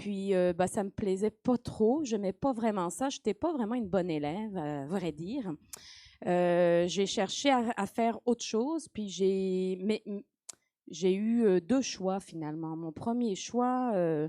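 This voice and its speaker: In a very clean, dry, close recording with no echo and a silent background, a woman speaks very slowly at a medium pitch with lively intonation. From France, Nantes (Saint-Herblain). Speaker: professor of marine biogeochemistry. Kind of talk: interview. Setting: live stream with audience. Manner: hesitant, many fillers.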